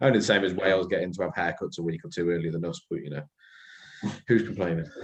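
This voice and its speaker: A man with a West Midlands accent talks at a very fast pace. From West Midlands, England (Telford/Shrewsbury). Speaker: podcast co-host. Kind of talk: casual chat.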